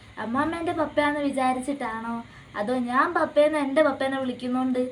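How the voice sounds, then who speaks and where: Noticeable background noise sits behind a woman with a high-pitched voice. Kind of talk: casual family vlog talk to camera.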